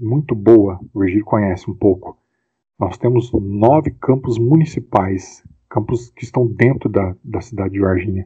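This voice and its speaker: At a moderate pace, a man speaks with a fairly low pitch and ordinary pitch variation in an unremarkable speaking voice. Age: 40s. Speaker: rugby club founder and player. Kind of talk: casual interview.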